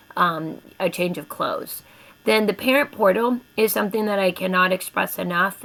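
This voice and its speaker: There is vocal fry in this woman's voice. Her pitch moves in an ordinary way. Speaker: elementary school teacher. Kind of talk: informational presentation to parents.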